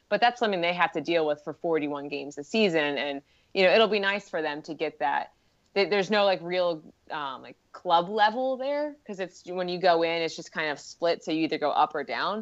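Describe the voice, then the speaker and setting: With an unremarkable speaking voice, a woman talks at a fairly quick pace in a fairly low pitch, her lively intonation and big swings in loudness set against a quiet background. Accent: American. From US Northeast, Philadelphia. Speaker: sports anthropologist. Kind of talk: casual chat.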